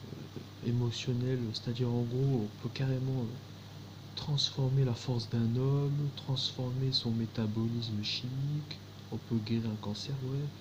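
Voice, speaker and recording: A man's medium-pitched voice at a very slow pace, monotone and flat, with audible room echo. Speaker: conspiracy video maker. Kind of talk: monologue to camera. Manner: slow, halting with many fillers.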